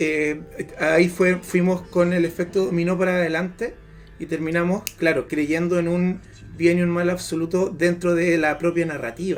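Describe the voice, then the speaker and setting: Over music in the background, a man speaks at a high pitch and moderate pace. His intonation is monotone and flat. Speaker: podcast panelist. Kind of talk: casual chat. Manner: stammering.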